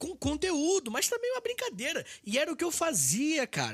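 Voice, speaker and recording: Animated and fairly quick, a man speaks at an extremely high pitch with very wide pitch swings. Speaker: history podcaster and teacher. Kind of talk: casual interview chat. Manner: fast.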